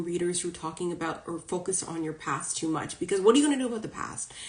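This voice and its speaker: Talking at a very fast pace, a woman with a fairly low pitch and ordinary pitch variation is heard over noticeable background noise. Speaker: spiritual coach and psychic reader. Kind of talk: live stream talk to followers. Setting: social media live video. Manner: casual, chatty.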